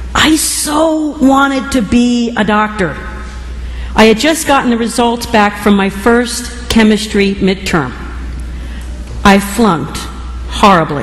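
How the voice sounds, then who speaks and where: A woman with an American accent and fairly high pitch, lively intonation at a very slow pace, long, frequent pauses, audible room echo and noticeable background noise. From New Jersey. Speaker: bishop. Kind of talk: sermon.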